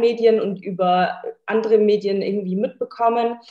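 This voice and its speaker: In a monotone, flat intonation, a woman with a fairly high pitch talks at a moderate pace. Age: 20s. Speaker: bikini fitness athlete. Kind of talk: casual chat.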